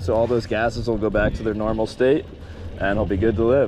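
A man talks with ordinary pitch variation. The sound is dry with no echo, with light background noise. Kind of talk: tutorial. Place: boat. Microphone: phone near.

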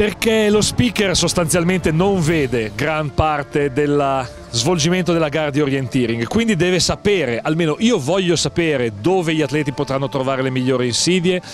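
A man speaks with lively intonation and a fairly high pitch. The sound is dry with no echo, and faint music plays in the background. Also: moderate pace. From Milan, Italy. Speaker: sports event announcer (speaker) for orienteering. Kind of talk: interview answer. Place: street. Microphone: handheld.

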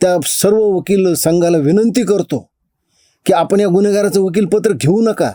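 A man speaks in a high pitch with a dark, mellow tone. His loudness stays very even and his intonation fairly even. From India, Beed district, Maharashtra. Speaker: political commentator. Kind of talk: monologue to camera.

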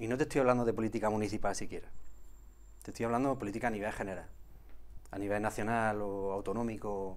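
Despite long, frequent pauses, the man's fairly low-pitched delivery runs at a very fast pace with fairly even intonation. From Andalusia, Villanueva del Arzobispo area, Jaén; Andalusia, Spain. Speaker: olive farmer and former local politician; guest. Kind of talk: casual interview. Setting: TV studio. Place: studio. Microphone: lapel.

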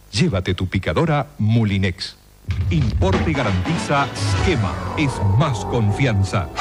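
Music plays behind a man who speaks at a very slow pace, fairly low in pitch, with lively intonation and very even loudness. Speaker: announcer. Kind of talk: TV commercial read.

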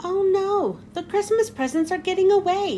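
Shouting in a put-on character voice at an extremely high pitch, a woman is heard over clear background noise. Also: moderate pace. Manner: yelled, alarmed.

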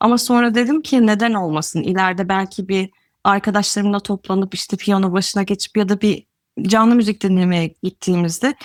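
An ordinary speaking voice from a woman at medium pitch, with ordinary pitch variation and a moderate pace, in a very clean, dry, close recording with no echo and a silent background. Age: 30s. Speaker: adult piano student. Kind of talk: interview.

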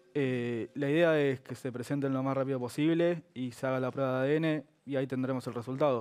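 A man talks at a fairly quick pace with hardly any pauses. His intonation is fairly even, and the background is quiet. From Argentina. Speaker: lawyer; guest. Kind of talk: TV interview. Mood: calm, measured. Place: studio. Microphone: headset.

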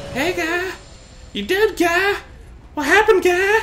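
An extremely high-pitched put-on character voice goes at a fairly slow pace against clear background noise. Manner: repetitive, goofy.

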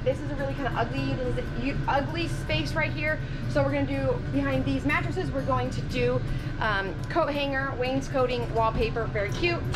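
Clear music in the background accompanies speech at a moderate pace with ordinary pitch variation. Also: woman. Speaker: RV renovation vlogger. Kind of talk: casual vlog chat. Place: home room. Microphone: phone near.

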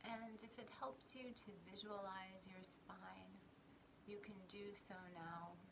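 A soft-spoken woman's calm, soothing voice at medium pitch, very slow in pace with ordinary pitch variation, amid noticeable background noise. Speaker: spiritual teacher and meditation guide. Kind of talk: guided grounding meditation with breathing and visualization cues. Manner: slow, soothing, gently instructive pacing with repeated 'and' transitions; calm, reassuring, softly encouraging tone. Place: home room.

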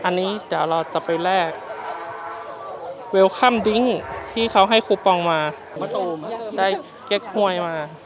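The sound is dry, with no echo. Music plays clearly in the background. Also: man, high pitch for a man, ordinary pitch variation. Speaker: travel vlogger. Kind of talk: casual vlog chat. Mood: cheerful, relaxed. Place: street. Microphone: lapel.

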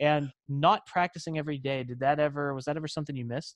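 In a dry recording with no echo and a quiet background, a man talks at a very fast pace. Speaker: podcast host. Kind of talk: podcast interview questions. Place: home room. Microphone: studio mic.

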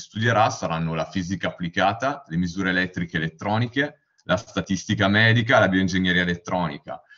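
Talking at a fairly quick pace, a man uses an ordinary speaking voice with ordinary pitch variation. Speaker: university student. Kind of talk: slide presentation. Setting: video call webinar.

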